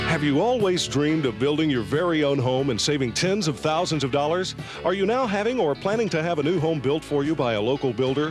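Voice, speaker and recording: A man's fairly high voice, upbeat and fairly quick, with very wide pitch swings over background music. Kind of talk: TV commercial read.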